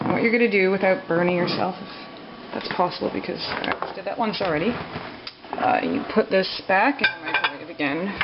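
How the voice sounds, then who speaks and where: The speaker talks at a fairly quick pace. Noticeable background noise runs behind the voice. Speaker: vlogger. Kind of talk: cooking tutorial. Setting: home kitchen at night. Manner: speaking quietly; casual, hesitant with fillers.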